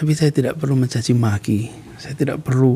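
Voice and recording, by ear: With a dark, mellow tone and a slightly husky edge, a man talks at medium pitch and a moderate pace.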